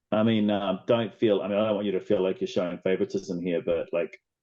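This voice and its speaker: This man speaks with an American accent at a moderate pace. His pitch sits fairly low. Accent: New Zealand accent with American tinge. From New Zealand. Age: old. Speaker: interviewer, motorsport channel host. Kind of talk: interview.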